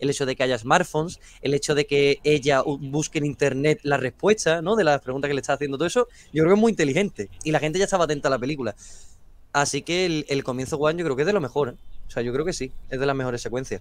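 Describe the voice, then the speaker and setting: A man talks at a very fast pace in a fairly high pitch with ordinary pitch variation. The sound is dry, with no echo. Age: young. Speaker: film youtuber. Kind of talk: casual debate. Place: home room. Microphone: video call.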